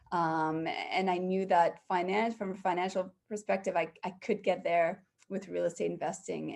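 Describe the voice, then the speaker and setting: A woman speaks at a moderate pace with a fairly low pitch and vocal fry. Her intonation stays fairly even. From Canada. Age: 40s. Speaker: real estate investor. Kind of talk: podcast interview.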